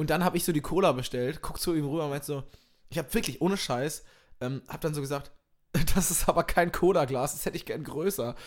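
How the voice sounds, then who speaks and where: The recording is very clean and the background silent. A man's words come very fast, and his pitch varies in an ordinary way. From East Westphalia (Minden), Germany. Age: young. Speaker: comedian. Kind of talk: casual chat.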